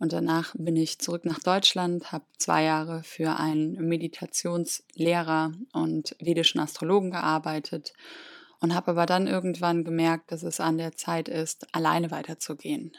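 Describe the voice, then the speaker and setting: Recorded very cleanly with a silent background and a dry, close sound with no echo, a woman with a plain, everyday voice speaks at a fairly low pitch and a moderate pace with fairly even intonation. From Germany, near Cologne. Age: 30s. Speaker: podcast host, spiritual coach. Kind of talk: personal monologue.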